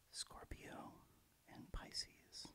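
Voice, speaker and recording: A man whispering at a very slow pace. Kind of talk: ASMR reading about astrology. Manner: soft-spoken.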